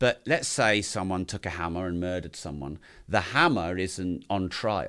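Bright and sharp, this voice carries an English accent at a moderate pace with ordinary pitch variation. The recording is very clean with a silent background. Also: man, very deep, low pitch for a man. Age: 40s. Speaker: entrepreneur and podcaster. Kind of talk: casual interview chat.

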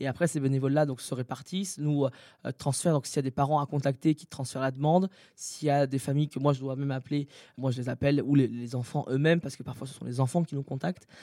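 Very fast speech with fairly even intonation and a dark, mellow tone comes through a very clean recording with a silent background, the sound dry and close with no echo. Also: man, fairly high pitch for a man. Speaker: anti-bullying association founder. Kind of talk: interview. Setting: hotel room.

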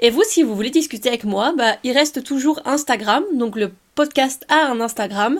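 The recording is very clean, with a silent background. A high-pitched woman speaks fairly slowly with lively intonation. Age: 20s. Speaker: podcast host, student. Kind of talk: casual solo podcast talk.

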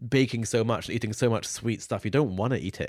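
Speaking at a fairly quick pace, a man with a medium pitch and a British accent comes through in a very clean recording with a silent background. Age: 20s. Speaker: podcast co-host, former baking show contestant. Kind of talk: casual chat; reading listener mail aloud.

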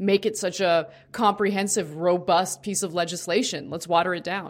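In a very clean recording with a silent background, a woman at medium pitch and moderate pace has an ordinary speaking voice. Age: 30s. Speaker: political talk show host. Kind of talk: casual chat with political commentary. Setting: studio livestream.

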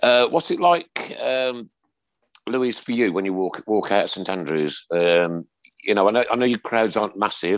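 Fairly low in pitch, a man talks at a moderate pace with lively intonation. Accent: Birmingham. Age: 60s. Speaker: podcast host. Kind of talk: casual chat.

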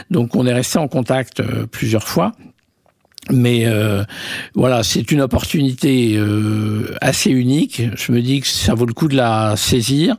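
At a very slow pace, a man speaks in a medium pitch with ordinary pitch variation and very even loudness. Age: 50s. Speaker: media entrepreneur. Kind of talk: interview. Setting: office.

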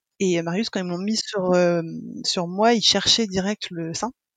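Over a quiet background, a woman speaks at medium pitch and a moderate pace with ordinary pitch variation, the sound dry and close with no echo. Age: 30s. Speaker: mother sharing breastfeeding experience. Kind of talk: interview testimony. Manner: halting, many hesitations and repetitions.

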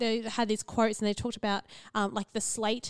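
Very fast delivery with an Australian accent and a dry, close sound with no echo. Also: woman. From central Queensland, Australia. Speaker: podcast co-host, psychologist. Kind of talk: casual chat.

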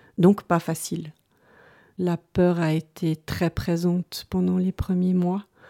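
A woman's dark, mellow voice, fairly low in pitch, monotone and flat, very slow, on a very clean recording with a silent background. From Switzerland, Lausanne. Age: 50s. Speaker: teacher. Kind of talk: personal testimony interview. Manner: hesitant, many fillers.

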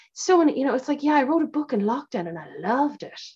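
A woman speaks at a very fast pace in an Irish accent. Her pitch is high. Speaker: podcast host, author and actor. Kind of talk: casual interview.

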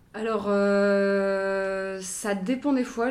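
Intonation stays fairly even. The recording is very clean, with a silent background. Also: woman. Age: 20s. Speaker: assistant director and actors' language coach. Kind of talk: interview. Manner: hesitant, many fillers.

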